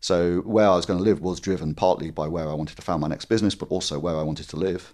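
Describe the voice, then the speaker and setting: Against a quiet background, a man with a very deep, low pitch speaks at a very fast pace. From Scotland, Dundee. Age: 50s. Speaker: tech entrepreneur. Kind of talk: interview. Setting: in-person, face to face.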